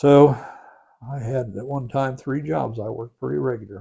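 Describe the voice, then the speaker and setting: A man with an Ohio accent talks at a fairly quick pace. His tone is dark and mellow, and somewhat breathy. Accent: Ohio, Midwestern US. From Crooksville, Ohio. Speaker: county sheriff. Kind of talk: interview answer. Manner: casual, conversational.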